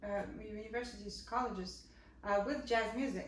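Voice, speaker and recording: A woman's fairly high voice comes through with audible room echo and noticeable background noise. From Poland. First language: Polish. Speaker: jazz vocalist. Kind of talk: casual chat. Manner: halting.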